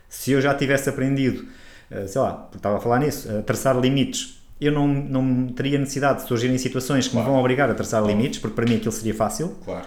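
A medium-pitched man at a very fast pace, fairly even in intonation, with audible room echo. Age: 40s. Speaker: holistic therapist and podcast co-host. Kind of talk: casual chat.

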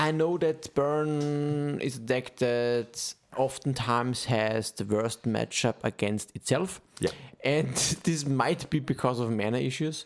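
A man talks at a fairly slow pace in an ordinary speaking voice, with ordinary pitch variation. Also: medium pitch for a man. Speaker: podcast host. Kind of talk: casual chat.

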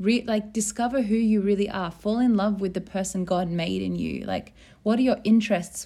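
A woman with an Australian accent speaks at a fairly quick pace. Her dark, mellow tone stays monotone and flat. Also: very clean recording, silent background. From rural Australia. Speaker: podcast host. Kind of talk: casual chat.

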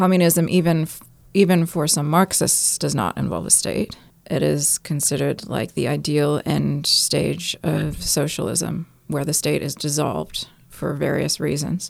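A woman at a fairly slow pace over noticeable background noise. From US (New York, California). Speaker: anarchist group member, podcast co-host. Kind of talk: casual discussion.

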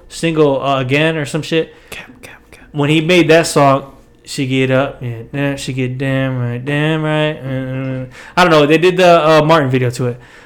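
A fairly high-pitched man at a fairly slow pace, fairly even intonation, big swings in loudness and audible room echo. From Puerto Rican and Irish family background. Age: 20s. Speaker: podcast host. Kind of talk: casual chat.

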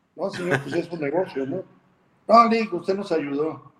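The voice belongs to a man. Ordinary pitch variation marks his speech. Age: 60s. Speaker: politician. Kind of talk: interview.

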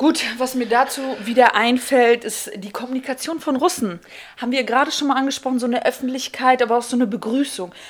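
A woman's high voice races along very fast. Its pitch variation is ordinary. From Kazakhstan, moved to Germany as a child. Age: 30s. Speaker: guest co-presenter asking questions. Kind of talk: casual chat.

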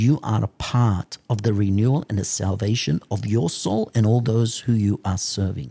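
Hardly pausing, a man talks at a moderate pace in a fairly low, somewhat breathy voice with a dark, mellow tone and ordinary pitch variation, the sound dry and close with no echo. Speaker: priest. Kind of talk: sermon.

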